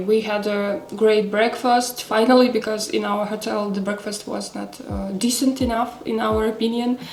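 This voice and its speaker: Noticeable background noise and audible room echo fill the recording. A woman speaks at a fairly high pitch and a moderate pace. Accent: Russian. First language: Russian. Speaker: knitting vlogger. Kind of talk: casual chat. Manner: halting, many fillers.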